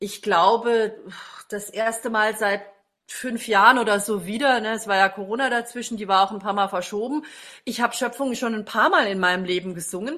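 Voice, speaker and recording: A fairly high-pitched woman's voice in a bright, sharp tone, with ordinary pitch variation over a quiet background. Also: moderate pace. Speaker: classical singer and voice teacher. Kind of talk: casual chat. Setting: home music room by her grand piano.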